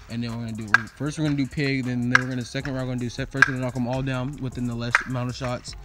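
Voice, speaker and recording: Very fast speech in a dry sound with no echo, over music in the background. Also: man. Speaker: hosting the challenge. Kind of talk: casual vlog chat. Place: garden. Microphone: phone near.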